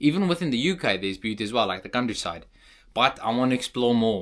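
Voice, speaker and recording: In a South African accent, a man talks at a medium pitch on a very clean recording with a silent background. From South Africa, Cape Town. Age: young. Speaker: vlogger. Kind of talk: casual vlog monologue.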